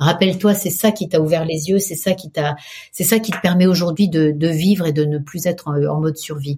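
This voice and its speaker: A somewhat breathy woman with a fairly low pitch, dark, mellow tone, fairly even intonation and moderate pace. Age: 60s. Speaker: PR agency head and meditation teacher. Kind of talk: interview.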